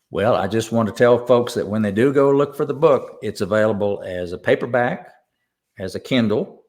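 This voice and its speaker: The speaker talks at a moderate pace with ordinary pitch variation, against a quiet background. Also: man, medium pitch for a man. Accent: East Tennessee. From US South, East Tennessee. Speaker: songwriter and pianist. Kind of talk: interview chat. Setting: live online show.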